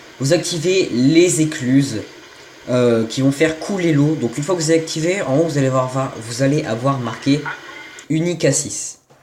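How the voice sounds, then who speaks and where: Man talking at a moderate pace amid noticeable background noise and audible room echo. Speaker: gaming youtuber. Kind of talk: gameplay tutorial. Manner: hesitant, stumbling.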